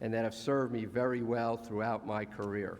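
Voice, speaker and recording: A man with a medium pitch speaks in a monotone, flat way, with audible echo in the room. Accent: New Jersey. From US, New Jersey. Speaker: honorary graduate speaker. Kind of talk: graduation speech. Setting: ceremony hall with audience.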